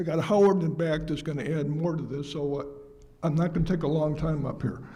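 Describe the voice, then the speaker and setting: A man's fairly quick speech with fairly even intonation and audible room echo. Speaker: accountant, resident. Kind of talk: public comment at town hall. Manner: halting.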